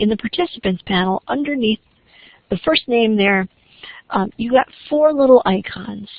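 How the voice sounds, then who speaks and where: A woman speaks at a moderate pace in a somewhat breathy, fairly high-pitched voice with lively intonation. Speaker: faculty trainer. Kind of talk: online training session. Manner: hesitant with fillers.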